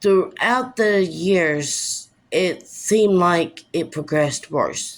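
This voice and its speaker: A woman speaks at a very slow pace. Her pitch sits in the medium range. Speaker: vlogger sharing personal story. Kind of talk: personal testimony. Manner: speech difficulty.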